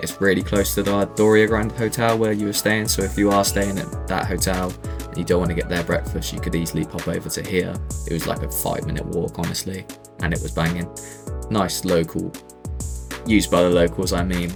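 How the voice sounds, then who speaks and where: Music plays in the background as a man with a British accent talks at a fairly quick pace. His very deep, low voice moves in very wide pitch swings. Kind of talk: casual travel voice-over. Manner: casual, conversational.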